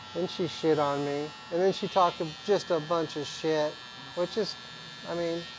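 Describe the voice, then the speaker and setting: Noticeable background noise accompanies a man with a fairly high pitch and ordinary pitch variation. He keeps a moderate pace, broken by long, frequent pauses. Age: 50s. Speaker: barber, barbershop owner. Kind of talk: casual chat.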